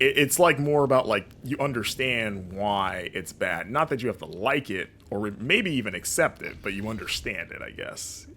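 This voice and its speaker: With an American accent, a man of medium pitch speaks at a moderate pace with lively intonation, big swings in loudness, and hardly any pauses. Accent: non-regional American. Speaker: streamer and games journalist. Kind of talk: gameplay commentary with chat. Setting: live stream.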